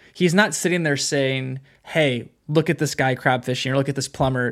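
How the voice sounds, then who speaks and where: A man with a West Coast American accent, fairly high-pitched, with fairly even intonation at a moderate pace. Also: hardly any pauses. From California, Bay Area. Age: 30s. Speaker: podcast co-host. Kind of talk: casual interview.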